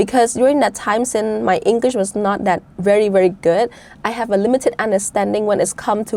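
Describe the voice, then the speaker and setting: A woman with a Cambodian accent and fairly even intonation. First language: Khmer. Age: 20s. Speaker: debate champion, budget analyst. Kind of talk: interview.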